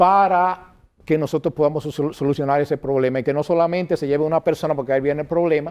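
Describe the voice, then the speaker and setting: A man with fairly high pitch rattles along at a very fast pace, his intonation fairly even. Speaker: political candidate and school director. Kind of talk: interview.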